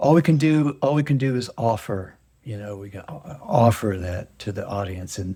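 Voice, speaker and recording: A man talks at a moderate pace with lively intonation and a dark, mellow tone. He sounds somewhat breathy, with big swings in loudness. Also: medium pitch for a man. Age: 70s. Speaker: stage actor. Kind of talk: interview conversation.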